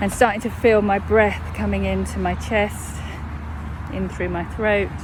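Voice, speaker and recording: A woman speaks at a fairly slow pace with a southern English accent. There is audible room echo and noticeable background noise. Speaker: mindfulness coach. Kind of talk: guided meditation. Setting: outdoors. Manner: slowing down over time.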